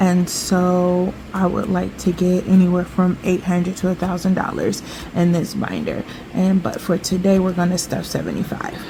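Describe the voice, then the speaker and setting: A woman speaks at a moderate pace in a medium pitch, her intonation monotone and flat. Noticeable background noise sits behind her. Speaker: budgeting vlogger. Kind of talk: casual vlog talk.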